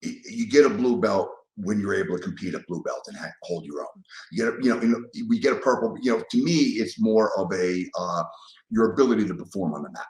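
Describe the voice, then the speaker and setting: Speaking at a fairly quick pace with an American accent, a man's loudness swings widely. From New York (Bronx). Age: 60s. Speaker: martial arts instructor. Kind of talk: podcast interview. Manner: halting.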